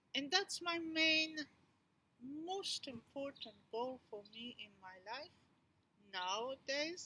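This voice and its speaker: A woman speaks in a raised, projected voice that is high-pitched and bright and sharp in tone, with very wide pitch swings, big swings in loudness, a very slow pace and long, frequent pauses. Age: 60s. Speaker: educator and movement therapist. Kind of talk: personal pitch presentation.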